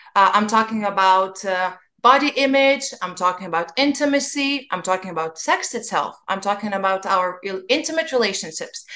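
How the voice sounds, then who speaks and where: A woman's medium-pitched voice with a non-native accent, bright and sharp in tone, lively in intonation, at a moderate pace with hardly any pauses. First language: not English. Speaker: podcast host. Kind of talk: podcast interview.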